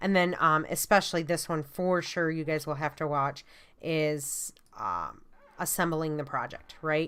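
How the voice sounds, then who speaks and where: In a strong Michigan accent, a woman speaks at a moderate pace with a very deep, low pitch, a bright, sharp tone and monotone, flat intonation. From US Midwest, Michigan. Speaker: college art instructor. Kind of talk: lecture. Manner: many fillers (um, uh).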